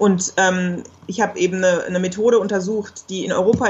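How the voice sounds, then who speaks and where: A woman's medium-pitched, monotone, flat voice at a fairly quick pace. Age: 30s. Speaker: geographer and single mother. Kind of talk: interview.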